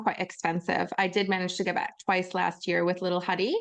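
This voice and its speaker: A woman with a Canadian accent uses a plain, everyday voice at a moderate pace, her intonation fairly even. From Canada, north of Toronto. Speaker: podcast co-host. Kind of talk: casual chat.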